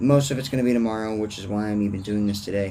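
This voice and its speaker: A man talks very fast at a fairly low pitch in a dark, mellow tone with fairly even intonation. Audible room echo surrounds his voice. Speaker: vlogger. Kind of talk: casual monologue rant. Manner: rambling tangents, casual.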